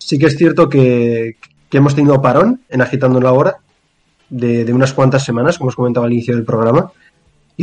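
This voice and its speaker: In an unremarkable speaking voice, a man talks at a medium pitch with fairly even intonation. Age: young. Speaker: podcast co-host. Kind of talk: casual chat. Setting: online call.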